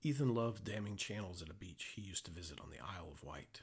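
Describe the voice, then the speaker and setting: A man with an American accent speaks in a very deep, low, somewhat breathy voice. His intonation is lively and his pace fairly quick. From Oklahoma, US. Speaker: author. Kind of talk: reading aloud.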